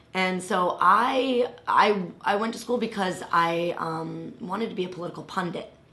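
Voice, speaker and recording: With hardly any pauses, a woman speaks at a moderate pace and medium pitch with ordinary pitch variation, amid audible room echo and noticeable background noise. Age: 30s. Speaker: political activist. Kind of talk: casual chat.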